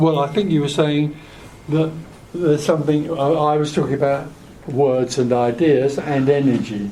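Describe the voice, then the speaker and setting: A man's fairly high voice with an English accent, very even loudness, a moderate pace, long and frequent pauses, and audible room echo. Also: ordinary pitch variation. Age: 80s. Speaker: spiritual teacher. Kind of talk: spiritual group Q&A talk. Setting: hotel meeting room with small audience. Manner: soft-spoken.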